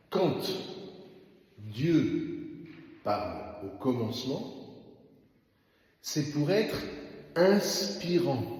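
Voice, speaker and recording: Amid noticeable background noise and audible room echo, a man with a fairly high pitch speaks at a very slow pace, his pitch swinging very widely between long, frequent pauses. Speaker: parish priest. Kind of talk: bible study talk.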